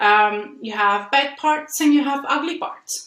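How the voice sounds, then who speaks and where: A woman speaks at a high pitch in an Italian accent. Her tone is bright and sharp. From Italy. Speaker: software engineer and conference speaker. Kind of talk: conference talk. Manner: halting, with frequent fillers.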